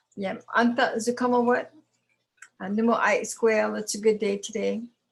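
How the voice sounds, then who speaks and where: Her voice is somewhat breathy, and the woman keeps her intonation fairly even. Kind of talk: testimony.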